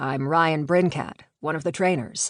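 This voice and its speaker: A raspy, put-on character voice comes at a middle pitch and moderate pace. The background is quiet. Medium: read story. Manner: casual, playful.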